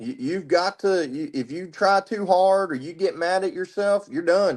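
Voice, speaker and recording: Over a quiet background, a man with a high pitch speaks at a moderate pace with lively intonation and hardly any pauses. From Tennessee, west of Nashville. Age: 30s. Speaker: military veteran. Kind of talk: casual interview chat.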